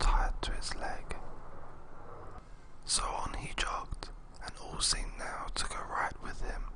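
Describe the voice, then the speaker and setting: Noticeable background noise fills the clip. Over it, the speech is whispered. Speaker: storyteller. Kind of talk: read story.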